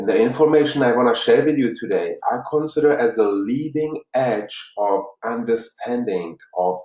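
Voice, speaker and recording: A man with a Czech accent talks at a fairly slow pace and a fairly high pitch. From Czech Republic, Prague. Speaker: life coach. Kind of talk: motivational talk. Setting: live stream. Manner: halting.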